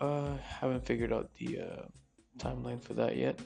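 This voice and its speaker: With music behind him, this man speaks fairly quickly. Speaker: gaming video creator. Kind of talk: gameplay voiceover commentary. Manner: casual, hesitant with filler words.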